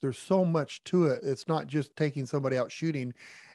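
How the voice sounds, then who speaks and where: Over a quiet background, a man with a normal speaking voice talks fairly quickly at a fairly high pitch, his intonation fairly even. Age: 60s. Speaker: podcast co-host, former gun shop owner. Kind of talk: casual interview.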